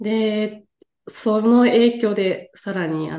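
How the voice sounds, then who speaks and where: Dark, mellow tone from a woman, with ordinary pitch variation. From Japan, Tottori. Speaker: English coach. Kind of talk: casual interview.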